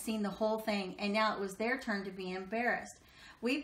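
The clip has a natural reading voice. Its intonation is fairly even throughout.

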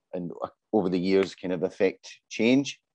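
The tone is dark and mellow, delivered at a moderate pace. The sound is dry and close with no echo, and the background stays quiet. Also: man. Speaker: creative industry executive. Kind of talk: panel discussion. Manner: hesitant, repeats words.

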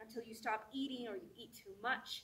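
Bright and sharp, a woman's high voice delivers an intense, dramatic tone at a moderate pace. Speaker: performer. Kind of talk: spoken-word monologue, performed. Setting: stage with audience. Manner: intense, dramatic, emotionally charged delivery. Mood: earnest, intense. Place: stage. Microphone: camera far.

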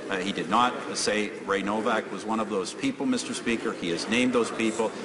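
A man speaks at a fairly quick pace. Noticeable background noise runs behind him. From Canada. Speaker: prime minister. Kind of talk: parliamentary question period answer. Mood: firm, defensive. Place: hall.

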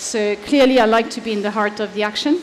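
A woman's fairly high-pitched voice with a French accent, fairly quick pace and fairly even intonation over light background noise. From France. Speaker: leadership advisor; conference speaker. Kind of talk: conference talk. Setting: stage with audience. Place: stage.

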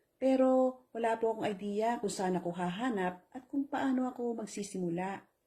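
A somewhat breathy woman speaks at a moderate pace with ordinary pitch variation and hardly any pauses. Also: fairly high pitch for a woman. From Philippines. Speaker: online business promoter. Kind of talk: sales pitch.

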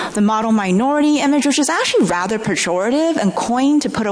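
A woman with an American accent at a very fast pace, with very wide pitch swings. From US Northwest, Oregon. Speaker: sociology professor. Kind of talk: panel discussion. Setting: stage with audience. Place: stage. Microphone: podium.

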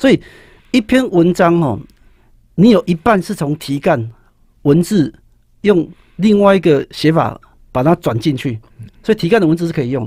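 A man speaks in a high voice with very wide pitch swings at a moderate pace, pausing long and often. The sound is dry with no echo, against a quiet background. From Taiwan. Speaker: high school teacher and author; guest, teacher. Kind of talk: interview about his book on writing. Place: studio. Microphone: studio mic.

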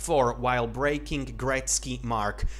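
A man with a Slovak accent, over light background noise. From Slovakia. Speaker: hockey YouTuber. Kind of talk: solo commentary video. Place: home room.

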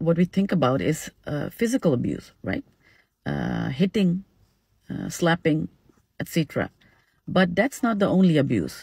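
A woman speaks with vocal fry. The background is quiet and the sound is dry, with no echo. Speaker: social media educator. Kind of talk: casual informative talk. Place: car. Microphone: phone near.

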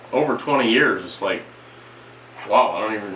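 The tone is bright and sharp, with lively intonation. Room echo is audible. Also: man, fairly low pitch for a man, moderate pace.

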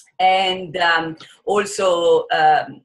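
Against a quiet background, a woman with an American accent speaks at a fairly low pitch with fairly even intonation. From Italian American. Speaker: psychologist. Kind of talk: interview. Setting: video call. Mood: warm and earnest. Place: home room. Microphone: video call.

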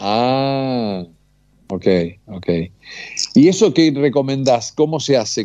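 Against a quiet background with a dry sound and no echo, a man with a dark, mellow tone speaks at a very slow pace, his intonation lively and broken by long, frequent pauses. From Bolívar, Buenos Aires province, Argentina. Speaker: radio host. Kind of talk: interview. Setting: phone call. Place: studio.

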